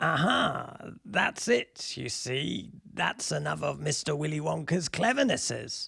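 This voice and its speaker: A put-on character voice, low-to-middle in pitch, fairly slow, with hardly any pauses. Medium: read story. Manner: storytelling, conspiratorial.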